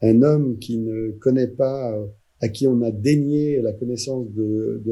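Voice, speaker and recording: A man's somewhat breathy voice has a dark, mellow tone and fairly even intonation. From France, Vendée. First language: Poitevin-Saintongeais (Vendée patois) (speaking French). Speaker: actor and storyteller. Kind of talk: interview. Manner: hesitant, with fillers.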